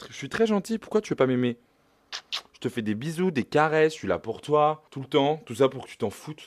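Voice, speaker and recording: A man speaks at a fairly quick pace in an animated tone. His pitch swings very widely. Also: dry, close sound with no echo. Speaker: vlogger. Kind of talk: casual vlog talk.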